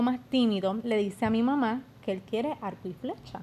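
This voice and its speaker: With a normal speaking voice, a woman talks at a moderate pace and a fairly high pitch, using ordinary pitch variation. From Puerto Rico, Yauco. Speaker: beauty pageant contestant. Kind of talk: casual interview.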